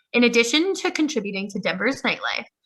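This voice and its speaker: Very fast and with lively intonation, a woman with a fairly high pitch and a bright, sharp tone talks in an American accent. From New York. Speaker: history club presenter. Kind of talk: presentation.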